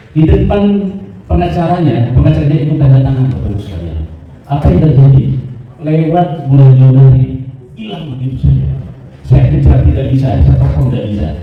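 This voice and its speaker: The speech comes at a very fast pace broken by long, frequent pauses, with noticeable background noise and audible room echo. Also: man. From not Sundanese. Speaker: fraud victim, supplier. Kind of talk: testimony at press conference.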